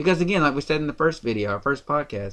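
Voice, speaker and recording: With a Tennessee accent, the speaker has lively intonation, an animated tone and a bright, sharp tone over a quiet background. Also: man. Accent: Southern US, Tennessee. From rural Tennessee. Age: 30s. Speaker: podcast host. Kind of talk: political podcast discussion.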